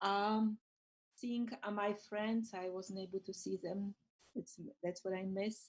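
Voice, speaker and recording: With a Polish accent, a woman of medium pitch speaks at a moderate pace with fairly even intonation. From Poland. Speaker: school librarian. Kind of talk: casual chat.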